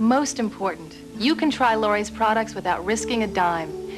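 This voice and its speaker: A woman's fairly high voice at a moderate pace, with music in the background. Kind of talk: TV infomercial voiceover.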